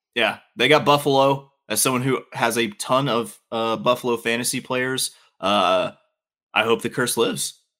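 A man with a Southern US accent speaks at a moderate pace, his pitch medium and his tone bright and sharp. The intonation stays fairly even, and the recording is very clean with a silent background. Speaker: podcast co-host. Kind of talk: casual banter about sports.

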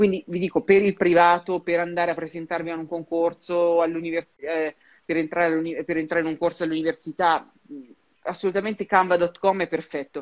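A woman talks in a fairly low pitch with monotone, flat intonation. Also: moderate pace. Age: 30s. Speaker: career advisor in human resources. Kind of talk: interview.

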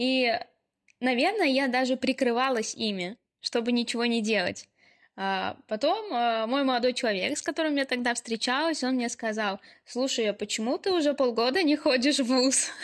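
Her voice is high-pitched for a woman, with ordinary pitch variation at a moderate pace. The recording is very clean, with a silent background. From Ulyanovsk, Russia. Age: 20s. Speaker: podcast co-host, university student. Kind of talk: casual chat.

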